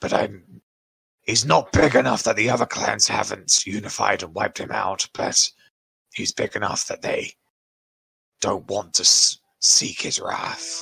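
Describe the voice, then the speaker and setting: Putting on a raspy character voice, a man at medium pitch speaks at a moderate pace with long, frequent pauses. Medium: actual play. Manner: measured, grave.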